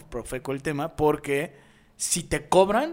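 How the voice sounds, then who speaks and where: A man with a Mexican accent. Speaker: podcast co-host. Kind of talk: casual chat.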